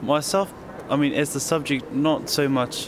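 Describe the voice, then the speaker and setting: A man at a fairly slow pace with fairly even intonation, amid noticeable background noise. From New Zealand. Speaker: young Maori activist, film subject. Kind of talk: interview. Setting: hotel lobby.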